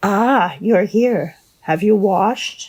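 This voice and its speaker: This woman performs a put-on character voice pitched in the medium range. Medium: read story. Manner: curt, commanding.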